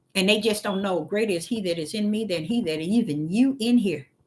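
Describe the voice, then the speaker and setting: A woman's medium-pitched, somewhat breathy voice with an animated tone, lively intonation and a fairly quick pace. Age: 60s. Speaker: street preacher. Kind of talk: livestream sermon. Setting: livestream from a laptop.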